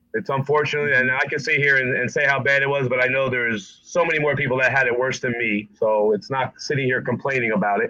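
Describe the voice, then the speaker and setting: A man with an American accent and medium pitch, at a very fast pace with hardly any pauses and ordinary pitch variation, over noticeable background noise. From New Jersey. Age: 50s. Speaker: barber and barbershop owner. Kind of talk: casual interview.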